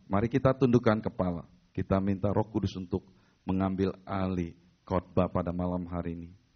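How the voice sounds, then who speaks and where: With a very deep, low pitch and fairly even intonation, a man speaks at a fairly quick pace. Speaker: pastor. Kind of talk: sermon.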